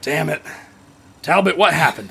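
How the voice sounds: A man's put-on character voice, bright and sharp in tone, with vocal fry, a husky, rough edge, and a moderate pace.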